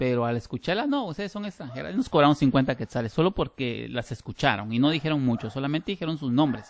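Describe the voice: With a Guatemalan accent, a man talks at a fast pace with lively intonation. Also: medium pitch for a man.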